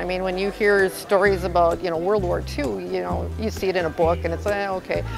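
A woman talking at a very fast pace amid noticeable background noise. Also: dry sound with no echo. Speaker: neighborhood party organizer. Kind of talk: interview answer. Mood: warm, earnest. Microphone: lapel.

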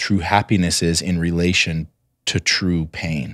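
A man speaks at a moderate pace, the sound dry with no echo and the background quiet. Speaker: entrepreneur; podcast guest. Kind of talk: casual interview. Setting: at home. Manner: loud. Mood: earnest, reflective. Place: studio. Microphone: studio mic.

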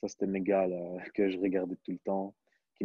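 A man's fairly low voice, dry with no echo, against a quiet background. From Belgium. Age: 20s. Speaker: professional basketball player; interviewee. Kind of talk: interview; interview answer. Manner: hesitant, many fillers. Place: home room. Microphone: earbuds.

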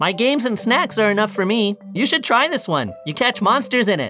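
A man's high-pitched, raised and projected put-on character voice at a fairly quick pace, with clear music in the background.

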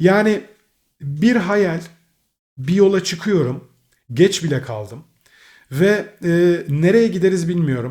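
A man talks with lively intonation. His voice has a somewhat breathy quality. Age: 30s. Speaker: gaming and car YouTuber. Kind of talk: casual vlog address to viewers. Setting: indoors at home.

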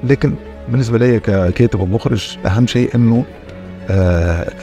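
Faint music plays in the background. The sound is dry with no echo. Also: man. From Tunisia. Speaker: actor, writer and director. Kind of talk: interview answer. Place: studio. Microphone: lapel.

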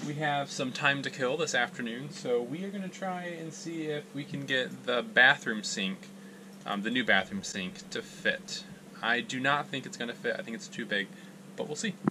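A man talks at a moderate pace. There is noticeable background noise behind him. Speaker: RV traveler vlogger. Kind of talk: casual vlog chat, tutorial. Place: bathroom. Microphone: phone near.

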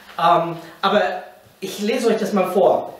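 A man's high voice with ordinary pitch variation and audible room echo. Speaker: pastor teaching a Bible series. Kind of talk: sermon. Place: meeting room.

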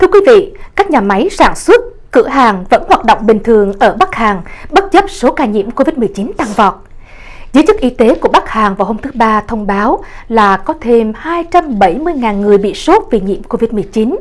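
Fairly slow delivery with very wide pitch swings. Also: woman, fairly high pitch for a woman. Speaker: news anchor. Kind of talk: news reading. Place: studio. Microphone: lapel.

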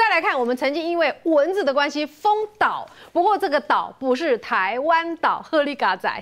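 The speaker has a Taiwanese accent and a moderate pace. The pitch swings very widely. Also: woman, high pitch for a woman. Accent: Taiwanese Mandarin. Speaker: TV talk show host. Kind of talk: TV political talk show. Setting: studio. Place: studio.

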